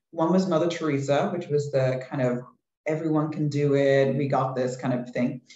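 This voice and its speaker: A man with an English accent, fairly high pitch, fairly even intonation and a moderate pace. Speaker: behavioral science researcher. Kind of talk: webinar panel discussion.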